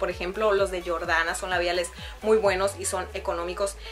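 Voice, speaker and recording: Moderate pace with faint music in the background. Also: woman. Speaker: beauty vlogger. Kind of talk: casual vlog chat, product review. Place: home room.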